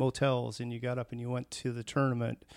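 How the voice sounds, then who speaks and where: A man in an American accent, fairly quick and monotone, with a dry, close sound and no echo. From US Pacific Northwest, Tacoma, Washington. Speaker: food company employee. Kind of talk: interview.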